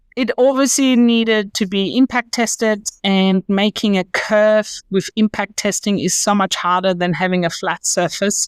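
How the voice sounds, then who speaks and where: With a German accent, a woman speaks fairly slowly in a fairly high pitch with ordinary pitch variation, in a dry, close sound with no echo. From Germany. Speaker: company founder. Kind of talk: interview.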